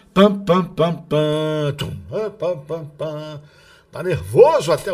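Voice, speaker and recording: A somewhat breathy male voice. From Rio de Janeiro. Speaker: radio announcer and podcast host. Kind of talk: narrated book reading with casual asides. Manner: trained announcer delivery.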